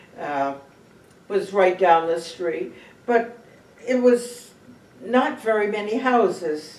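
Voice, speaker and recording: A woman with an American accent and lively intonation, very slow with long, frequent pauses, over noticeable background noise. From Cape Cod, Massachusetts. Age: 90s. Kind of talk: oral history interview answer.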